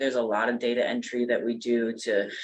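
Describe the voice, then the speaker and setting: Here a man speaks at a medium pitch. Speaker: personnel administrator. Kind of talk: public meeting. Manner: soft-spoken.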